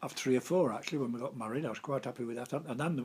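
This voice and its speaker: Pitched in the medium range, this man's voice moves at a very fast pace. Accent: Lincolnshire. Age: 80s+. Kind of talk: interview answer. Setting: living room at home. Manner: conversational, reminiscing, hesitant.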